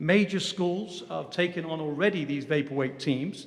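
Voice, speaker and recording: A man with an English accent speaks at a moderate pace and a fairly high pitch. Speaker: security dog company president. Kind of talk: formal briefing. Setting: government commission hearing. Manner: hesitant with fillers.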